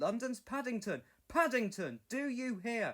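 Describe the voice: Using a put-on character voice, a man speaks at a fairly slow pace with extremely high pitch, big pitch swings, and a fairly bright tone.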